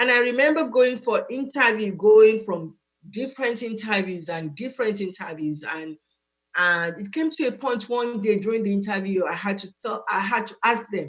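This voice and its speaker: A woman speaks with an African accent. Her intonation is lively. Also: moderate pace, big swings in loudness. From Nigeria. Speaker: student advisor. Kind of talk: interview. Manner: animated.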